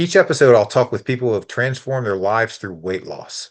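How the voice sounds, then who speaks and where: Over a quiet background, a man with a plain, everyday voice speaks at a medium pitch with lively intonation. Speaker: podcast host. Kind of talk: podcast intro.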